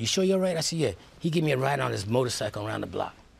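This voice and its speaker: A man speaks very fast in an American accent with lively intonation. His voice is somewhat breathy. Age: 70s. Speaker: police chaplain. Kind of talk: interview.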